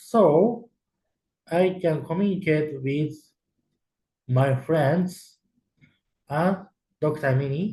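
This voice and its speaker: Speaking at a very slow pace in a Japanese accent, this voice has a dark, mellow tone and ordinary pitch variation. Long pauses come often. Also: man, fairly high pitch for a man. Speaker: exchange student. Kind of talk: recorded class presentation.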